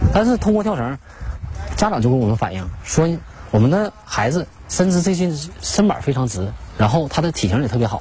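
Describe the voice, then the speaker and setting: Over noticeable background noise, a man talks at a fairly quick pace with very wide pitch swings and long, frequent pauses. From Liaoning, northeast China (Shenyang). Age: 40s. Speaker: rope-skipping athlete and coach. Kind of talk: interview testimony. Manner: halting.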